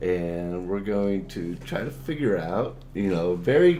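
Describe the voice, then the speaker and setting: Speaking very slowly with very wide pitch swings, a man is heard in audible room echo. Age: 60s. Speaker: animator and animation teacher. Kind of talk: tutorial.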